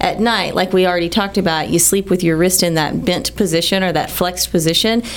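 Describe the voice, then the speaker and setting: A woman with an American accent talks fairly quickly at medium pitch, with hardly any pauses and fairly even intonation. Her loudness stays very even over noticeable background noise. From Texas, Texas City. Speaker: hand surgeon. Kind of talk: medical radio interview. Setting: studio.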